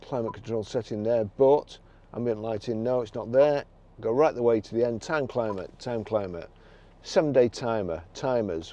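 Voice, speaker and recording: With an English accent, a man speaks in a medium-pitched voice with a dark, mellow tone. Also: ordinary pitch variation, moderate pace. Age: 60s. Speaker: used car dealer. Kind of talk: tutorial. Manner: halting.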